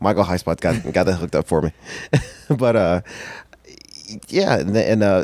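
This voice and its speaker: Speaking at a moderate pace is a man. His pitch sits fairly low. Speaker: professional wrestler. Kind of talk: casual chat. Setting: podcast interview. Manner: soft-spoken.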